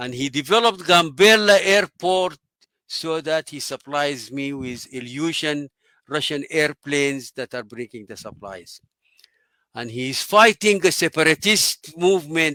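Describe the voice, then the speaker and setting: Speaking in a Sudanese accent, a man has a fairly high pitch and a bright, sharp tone, with lively intonation and big swings in loudness at a fairly slow pace, in a very clean, dry, close recording with a silent background and no echo. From Sudan, Omdurman. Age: 80s+. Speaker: engineer and water advisor. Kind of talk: interview storytelling.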